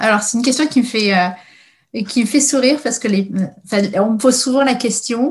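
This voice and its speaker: Long pauses turn up often. Between them, the talking runs at a fairly quick pace. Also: woman, high pitch for a woman, ordinary pitch variation. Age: 30s. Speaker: innovation adviser at a research agency. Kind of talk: interview. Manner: halting, many hesitations.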